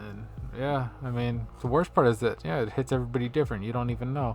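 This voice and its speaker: A man speaks with music playing in the background. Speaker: podcast host. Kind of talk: casual solo podcast rant. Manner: lively; casual, filler-heavy.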